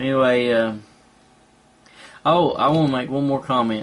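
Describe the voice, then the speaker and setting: A man speaks with a Southern US accent. His pace is moderate and his pitch variation is ordinary. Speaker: vlogger. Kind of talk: casual monologue.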